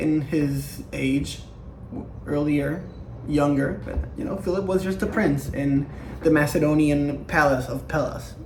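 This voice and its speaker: A man speaks fairly slowly in a room with audible echo, and noticeable background noise is present. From Latin America. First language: not English. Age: young. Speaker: history YouTuber. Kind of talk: casual lecture. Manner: animated; halting.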